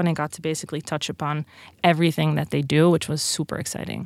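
Woman with a Dutch accent at a very fast pace, very clean recording with a silent background. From Netherlands. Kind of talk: interview. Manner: animated.

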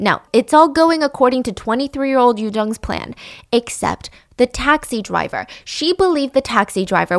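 A woman with an ordinary speaking voice and lively intonation, in a dry, close sound with no echo. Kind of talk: true-crime narration. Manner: measured storytelling, serious and conversational; sounds uneasy and disturbed when talking about the killer.

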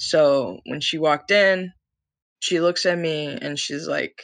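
A fairly slow pace in a woman's very deep, low voice. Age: 20s. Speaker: accident survivor. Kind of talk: testimony.

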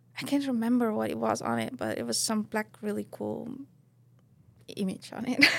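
A woman with an Estonian accent at a moderate pace, with long, frequent pauses and noticeable background noise. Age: 30s. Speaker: professional snowboarder. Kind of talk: casual interview. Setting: studio with live audience.

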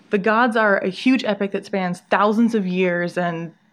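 Her voice is a plain, everyday voice, medium in pitch for a woman, with fairly even intonation. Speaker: entertainment correspondent. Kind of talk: interview. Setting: in-person interview in New York.

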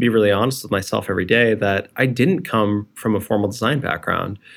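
A man with an unremarkable speaking voice talks at a medium pitch and a fairly quick pace. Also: very clean recording, silent background. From New Jersey, US. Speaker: design leader, former engineer. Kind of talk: interview.

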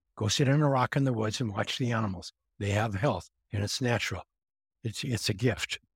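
A man's somewhat breathy voice at medium pitch and a fairly quick pace, with ordinary pitch variation, in a very clean recording with a silent background and a dry, close sound with no echo. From Montana. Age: 70s. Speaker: grounding company founder. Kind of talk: interview.

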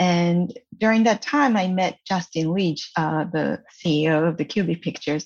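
In a Japanese accent, a woman speaks at a fairly low pitch against a quiet background. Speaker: animation producer. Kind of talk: interview. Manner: halting.

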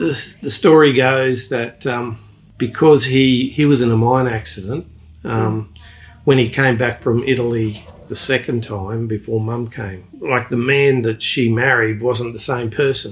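Speaking at a fairly slow pace, a man with an Australian accent keeps a medium pitch and fairly even intonation. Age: 60s. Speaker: retired engineer. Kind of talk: casual interview. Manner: halting, searches for words.

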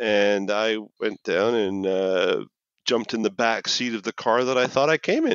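A man with a Canadian accent in an ordinary speaking voice, at a medium pitch and a fairly slow pace, with fairly even intonation. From Canada, Toronto. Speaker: accessibility technology manager. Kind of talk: casual chat.

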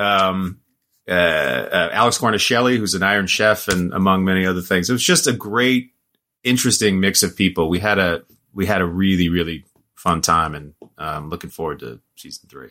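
A man's very deep, low voice with a bright, sharp tone and an American accent, at a moderate pace with ordinary pitch variation, on a very clean recording with a silent background. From Oregon, US Pacific Northwest. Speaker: actor. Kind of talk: casual chat.

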